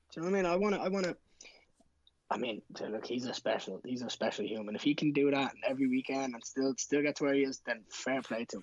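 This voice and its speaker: A man talks at a very fast pace with a Dublin accent. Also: medium pitch for a man, lively intonation. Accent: Dublin Irish. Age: 20s. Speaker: MMA fighter. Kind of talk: casual interview chat.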